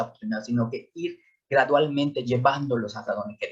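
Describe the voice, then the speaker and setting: His voice is somewhat breathy. The man speaks at a fairly high pitch. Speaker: school psychologist. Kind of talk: lecture. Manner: hesitant with repetitions.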